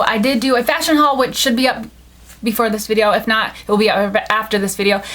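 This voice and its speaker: A woman with an American accent talks very fast at a fairly high pitch with ordinary pitch variation, over noticeable background noise. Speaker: beauty vlogger. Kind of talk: product review haul. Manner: casual, filler-heavy.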